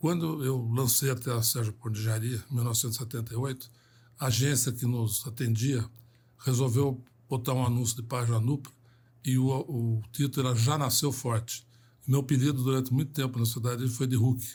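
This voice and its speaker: A man with a medium-pitched, somewhat breathy voice speaks at a fairly quick pace in a monotone, flat intonation, recorded very cleanly against a silent background. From Brazil, São José dos Campos, São Paulo state. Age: 70s. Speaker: civil engineer and company founder. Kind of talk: podcast interview. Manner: hesitant fillers.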